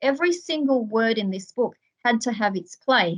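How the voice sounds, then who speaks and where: A woman with an Australian accent speaks at a moderate pace in a fairly high, somewhat breathy voice. Her pitch varies in an ordinary way. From Australia, Melbourne's western suburbs. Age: 40s. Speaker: author. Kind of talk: interview.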